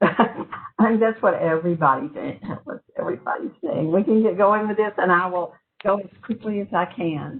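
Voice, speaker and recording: Moderate pace, lively intonation, slight Southern US accent. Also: woman, medium pitch for a woman, big swings in loudness. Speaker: transit project representative. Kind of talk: presentation at online public meeting.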